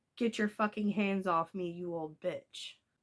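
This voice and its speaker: A woman shouts and growls in a put-on character voice at a medium pitch. Her moderate-paced delivery keeps a fairly even intonation. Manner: screaming.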